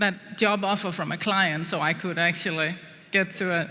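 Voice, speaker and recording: A woman speaks with a Danish accent. Her voice carries an audible room echo. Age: young. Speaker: business executive. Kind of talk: on-stage interview.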